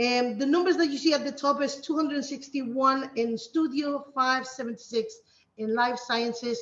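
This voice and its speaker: With ordinary pitch variation, a woman speaks at a high pitch. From Spain. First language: Spanish. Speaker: teacher. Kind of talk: conference presentation. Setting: video call. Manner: hesitant, many fillers.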